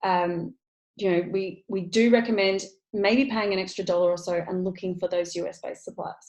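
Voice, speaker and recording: Speaking at a fairly quick pace, a woman with an Australian accent holds a medium pitch and fairly even intonation. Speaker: online business coach. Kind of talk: tutorial. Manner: fast.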